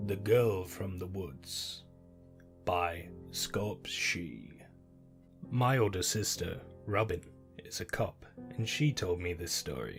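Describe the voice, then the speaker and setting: Music plays in the background as a man speaks very slowly in a fairly low pitch. His intonation is lively, broken by long, frequent pauses. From British. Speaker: narrator. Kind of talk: horror story narration.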